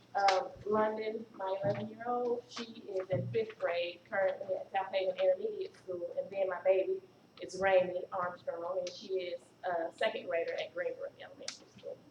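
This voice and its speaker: With noticeable background noise behind her, a woman talks at a moderate pace, her loudness swinging widely. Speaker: school principal. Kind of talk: introducing family at meeting. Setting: board meeting.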